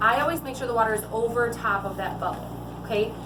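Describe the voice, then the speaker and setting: A woman's fairly high-pitched voice amid audible room echo and noticeable background noise. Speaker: sales trainer. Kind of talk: tutorial. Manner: fast.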